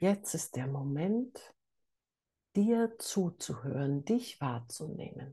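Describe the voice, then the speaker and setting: A woman's very deep, low, dark and mellow voice, somewhat breathy and calm and soothing, with very wide pitch swings at a very slow pace. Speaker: meditation teacher. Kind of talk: guided meditation. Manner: slow, calm, soothing, with long pauses; soft-spoken, gentle.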